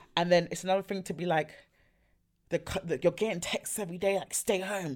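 An ordinary speaking voice from a woman at a fairly quick pace, in a very clean recording with a silent background. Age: 20s. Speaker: podcast guest, friend of host. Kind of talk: casual chat.

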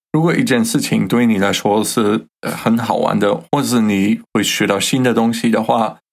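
A man speaks with a German accent. He hardly pauses at all. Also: medium pitch for a man, ordinary pitch variation, moderate pace, very even loudness. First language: German (speaking Chinese). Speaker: podcast co-host teaching German. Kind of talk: language lesson chat.

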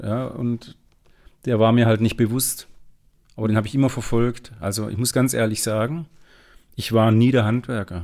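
Here a man talks at a moderate pace. His medium pitch carries fairly even intonation. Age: 40s. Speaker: entrepreneur and business coach. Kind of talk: interview conversation.

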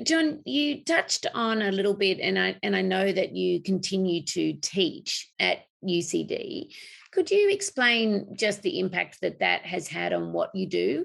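The speaker has an Australian accent and talks at a fairly slow pace. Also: woman. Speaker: podcast host, industry association CEO. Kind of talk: interview. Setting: remote call.

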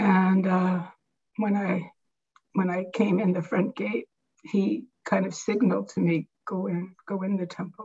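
A woman talks at a fairly slow pace with vocal fry and fairly even intonation. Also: medium pitch for a woman. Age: 70s. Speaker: devotee sharing memories. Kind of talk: personal reminiscence talk.

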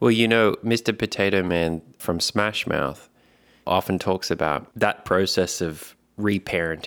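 At a fairly slow pace, a man talks in a fairly low pitch with ordinary pitch variation. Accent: Australian. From Australia. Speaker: podcast host. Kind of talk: casual chat.

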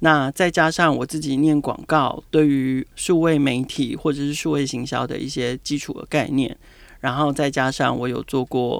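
A man's fairly high, monotone, flat voice in a very clean recording with a silent background. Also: moderate pace. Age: 40s. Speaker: marketing director. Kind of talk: interview. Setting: on location at his office.

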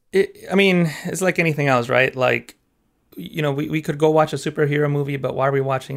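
A man with a Mexican accent, fairly high in pitch, at a very fast pace with fairly even intonation. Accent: Mexican-accented English, California. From Mexico. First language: Spanish. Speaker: graphic artist and Photoshop teacher. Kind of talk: casual interview chat.

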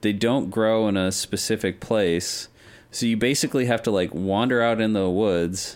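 A man with an American accent speaks in a normal speaking voice, fairly low in pitch with ordinary variation, at a moderate pace and very even loudness, on a very clean recording with a silent background. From Denver, US West. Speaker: guest gamer. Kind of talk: casual chat.

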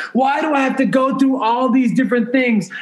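A man speaks at an extremely high pitch with fairly even intonation. Audible room echo surrounds his voice. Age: 40s. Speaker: entrepreneur. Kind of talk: casual chat. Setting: remote recording from a hotel.

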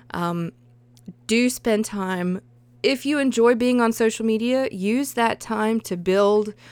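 In a very clean recording with a silent background, a woman speaks at a fairly high pitch in a Southern US accent. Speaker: podcast host and freelance writer. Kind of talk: casual solo podcast monologue. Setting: home recording. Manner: chatty, laughs often.

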